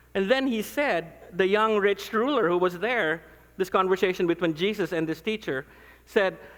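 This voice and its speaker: Animated in tone, a man with a Filipino accent speaks at a high pitch with ordinary pitch variation. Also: moderate pace. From Philippines. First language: non-English (Philippine language). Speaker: pastor. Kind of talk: conference talk.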